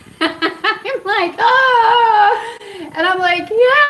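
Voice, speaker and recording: A woman speaks over noticeable background noise. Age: 40s. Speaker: cannabis and cancer vlogger. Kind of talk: casual storytelling vlog. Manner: animated.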